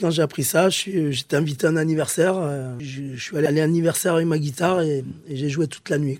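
This man's voice sits fairly high, with fairly even intonation. He talks at a fairly quick pace. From southern France, Pyrenees. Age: 40s. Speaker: former special forces soldier and musician. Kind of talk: interview testimony. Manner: halting, with many hesitations.

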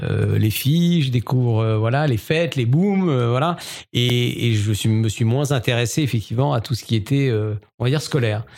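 The speech moves at a moderate pace with ordinary pitch variation. Loudness stays very even on a very clean recording with a silent background. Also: man, medium pitch for a man. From Alsace, France (Strasbourg). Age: 50s. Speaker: entrepreneur. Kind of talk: interview. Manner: hesitant, many fillers.

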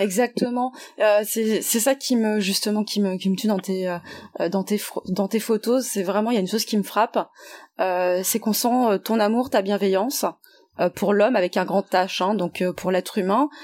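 A woman speaks in an ordinary speaking voice at medium pitch and a moderate pace. Her intonation is fairly even, and the recording is very clean with a silent background. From French Guiana and Martinique. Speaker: podcast host. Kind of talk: interview.

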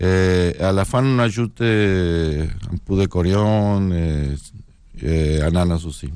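Very slowly and in a northern Mexican accent, a man speaks with a very deep, low pitch and ordinary pitch variation. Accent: Mexican, northern Mexico. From northern Mexico (Sonora). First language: Spanish (speaking French). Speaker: chef. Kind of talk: casual chat.

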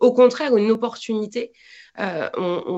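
A woman's medium-pitched, a normal speaking voice with ordinary pitch variation. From France. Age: 40s. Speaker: football commentator. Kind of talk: casual interview.

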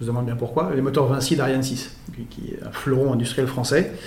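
A man with a medium pitch speaks fairly quickly while noticeable background noise plays behind him. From born in Belgrade, Serbian father, French mother. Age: 40s. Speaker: presidential candidate. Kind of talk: political interview.

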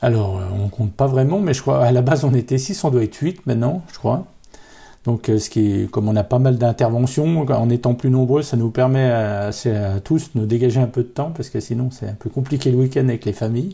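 A man with a medium pitch and ordinary pitch variation speaks at a moderate pace. His dark, mellow tone is somewhat breathy, and the recording is very clean with a silent background. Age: 40s. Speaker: accordionist in a folk band. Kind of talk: interview. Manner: hesitant, many fillers.

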